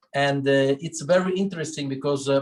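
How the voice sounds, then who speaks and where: A man speaks with fairly high pitch. His pitch variation is ordinary. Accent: Sicilian. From Sicily, Italy. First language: Italian. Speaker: winery owner. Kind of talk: wine tasting talk. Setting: video call. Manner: halting, many fillers.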